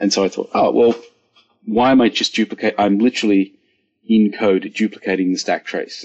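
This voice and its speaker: Speaking with an Australian accent, a man keeps a fairly quick pace. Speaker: software engineer. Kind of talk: panel discussion.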